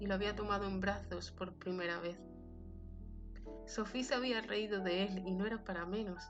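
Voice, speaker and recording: With music in the background, a woman speaks at a moderate pace with fairly even intonation. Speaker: narrator. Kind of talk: fiction reading.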